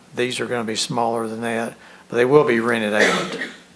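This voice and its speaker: A man's voice over noticeable background noise. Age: 60s. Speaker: developer's representative at a zoning hearing. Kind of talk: public hearing testimony.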